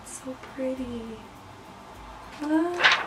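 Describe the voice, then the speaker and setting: A woman's relaxed tone over noticeable background noise. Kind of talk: casual talk to camera. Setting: bedroom. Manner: relaxed, chatty.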